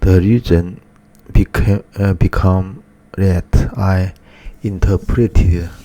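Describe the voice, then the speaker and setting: A man with a Chinese accent speaks at a very slow pace in a very deep, low voice. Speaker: artist vlogger. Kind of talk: personal monologue. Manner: halting, many fillers.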